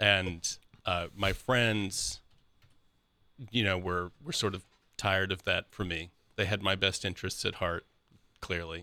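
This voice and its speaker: With an American accent and a very deep, low pitch, a man speaks at a fairly slow pace in a bright, sharp tone, his intonation fairly even and his long pauses frequent, on a very clean recording with a silent background. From Columbus, Ohio. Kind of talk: interview, personal testimony. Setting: studio.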